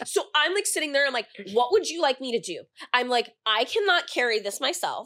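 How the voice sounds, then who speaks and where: Her voice raised and projected, a woman speaks at a fairly quick pace with a high pitch, very wide pitch swings and a bright, sharp tone. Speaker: podcast co-host. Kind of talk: casual chat.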